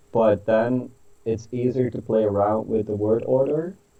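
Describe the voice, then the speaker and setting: Using fairly even intonation, a man with a Dutch accent talks at a medium pitch. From Netherlands. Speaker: author. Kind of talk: interview. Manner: hesitant, many fillers.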